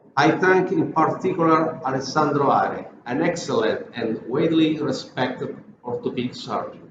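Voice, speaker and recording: A man speaks at a moderate pace in a fairly high pitch. Audible room echo surrounds the voice. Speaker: health agency director and orthopedic surgeon. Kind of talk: prepared speech. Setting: video recording.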